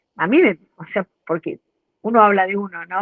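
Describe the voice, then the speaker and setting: Hers is an unremarkable speaking voice, a woman at medium pitch with fairly even intonation. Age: 60s. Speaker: course participant. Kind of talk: testimony.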